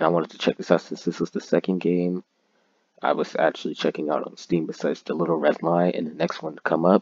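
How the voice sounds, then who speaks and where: Here a man talks at a very fast pace. His pitch is very deep and low, with monotone, flat intonation. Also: dry, close sound with no echo. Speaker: gaming YouTuber. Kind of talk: casual gameplay commentary.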